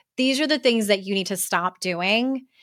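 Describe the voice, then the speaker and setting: In a very clean recording with a silent background, a woman with an unremarkable speaking voice talks at a moderate pace with lively intonation. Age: 40s. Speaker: author and life coach. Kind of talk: interview.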